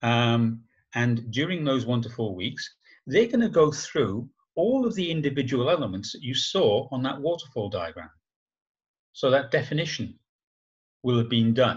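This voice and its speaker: A man talks at a moderate pace with lively intonation and a somewhat breathy quality, leaving long, frequent pauses against a quiet background. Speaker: agile trainer. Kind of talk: webinar presentation. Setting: video call. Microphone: video call.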